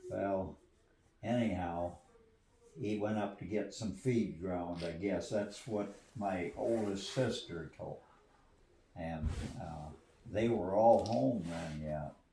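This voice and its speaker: Amid noticeable background noise, a man with an American accent speaks at a very slow pace with ordinary pitch variation. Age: 80s+. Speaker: retired farmer. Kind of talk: casual storytelling in family conversation.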